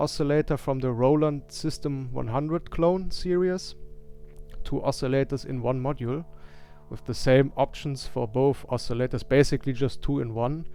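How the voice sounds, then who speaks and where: A man speaks with a German accent and fairly even intonation. Music plays in the background. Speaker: synth musician and streamer. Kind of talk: live stream setup tour. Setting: live stream. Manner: hesitant, many fillers.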